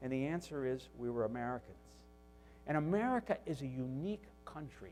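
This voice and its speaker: Over music in the background, a man with a Northeastern US accent talks at a fairly quick pace, his pitch swinging very widely. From US Northeast. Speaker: business executive, tool maker. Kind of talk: keynote speech. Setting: conference stage.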